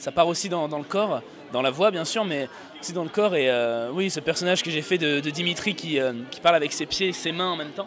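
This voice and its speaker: Music plays behind a man talking at a fairly quick pace. His pitch is fairly high, with ordinary variation. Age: 20s. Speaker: stand-up comedian. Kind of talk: interview. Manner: hesitant, many euhs.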